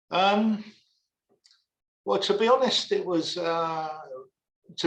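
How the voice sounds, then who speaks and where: A man is speaking. He has a strong London accent. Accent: thick London. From East London, England. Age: 60s. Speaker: rock bassist and vocalist. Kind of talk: casual interview chat.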